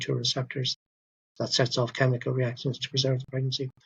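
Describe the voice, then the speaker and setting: A somewhat breathy man with an Irish accent and medium pitch, at a very fast pace. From Ireland. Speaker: doctor. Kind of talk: interview. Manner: halting.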